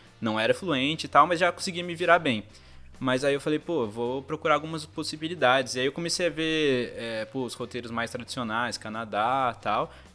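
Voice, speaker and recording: A man with a fairly high pitch and ordinary pitch variation talks at a moderate pace while music plays in the background. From Brazil, São José dos Campos (São Paulo state). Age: 20s. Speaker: graphic designer, former exchange student. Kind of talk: casual interview.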